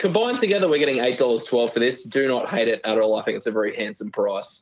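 A man speaks very fast with a strong Australian accent. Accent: broad Australian. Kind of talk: casual betting chat. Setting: remote headphone link.

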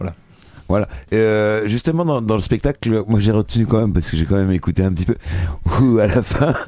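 A man's fairly low voice in a dark, mellow tone, fairly quick with lively intonation, yet marked by long, frequent pauses. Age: 50s. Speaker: local radio host. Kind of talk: casual chat.

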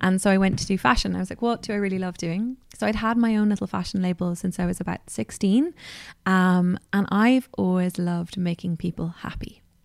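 In an Irish accent, a woman speaks at a fairly quick pace with a medium pitch and ordinary pitch variation. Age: 30s. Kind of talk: interview. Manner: animated.

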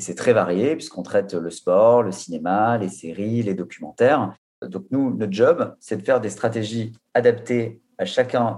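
With a normal speaking voice, a man talks at a moderate pace, his fairly low pitch carried by lively intonation. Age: 30s. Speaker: digital content manager. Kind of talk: work meeting conversation.

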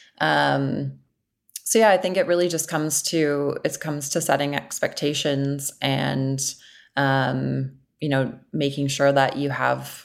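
The recording is very clean, and the background is silent. A woman talks at a fairly slow pace. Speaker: agency client service head. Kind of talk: interview conversation.

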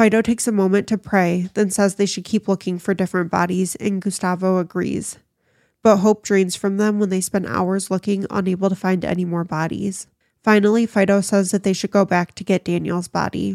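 A woman speaks at a fairly quick pace in a medium pitch, with monotone, flat intonation. The sound is dry and close with no echo, and the recording is very clean with a silent background. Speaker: podcast host. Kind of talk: true-crime narration. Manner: careful enunciation, self-correcting with laughs.

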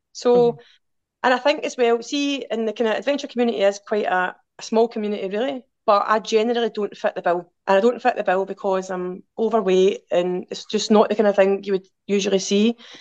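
Speaking in a Glaswegian accent, a woman has a fairly high pitch. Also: ordinary pitch variation, fairly quick pace. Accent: Glaswegian Scottish. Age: 40s. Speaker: outdoor adventurer and swim group organiser. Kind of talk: casual chat.

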